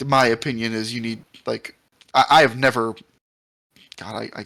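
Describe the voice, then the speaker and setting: A man puts on a raspy character voice at a medium pitch, speaking at a moderate pace with monotone, flat intonation. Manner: stuttering, halting.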